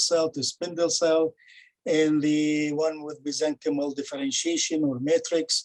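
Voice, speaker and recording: The sound is dry and close, with no echo. A man talks at a fairly high pitch and moderate pace, his intonation fairly even. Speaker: pathologist presenting a case. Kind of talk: case presentation. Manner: halting, many fillers.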